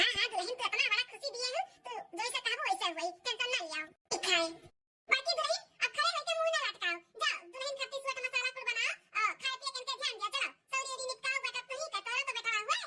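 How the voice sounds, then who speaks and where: Doing a cartoonish character voice, a woman talks at a very fast pace with extremely high pitch and lively intonation. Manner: commanding, homely.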